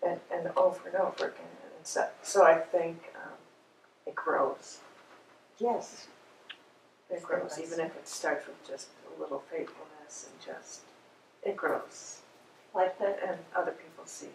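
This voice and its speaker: The speech goes at a fairly slow pace with long, frequent pauses. Its loudness swings widely. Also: woman. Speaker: class participant. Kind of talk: group discussion and scripture reading.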